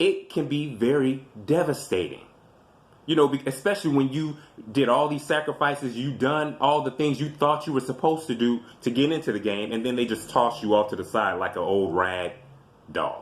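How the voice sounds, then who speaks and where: Delivered at a moderate pace, the voice has an animated tone and ordinary pitch variation. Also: man, fairly high pitch for a man. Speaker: video commentator. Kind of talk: casual commentary monologue. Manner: loud.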